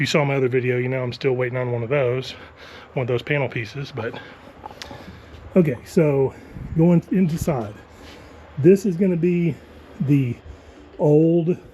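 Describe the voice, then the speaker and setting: A man with an American accent at a moderate pace, ordinary pitch variation, long and frequent pauses, and noticeable background noise. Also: fairly high pitch for a man. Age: 50s. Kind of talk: casual talk to camera, home tour.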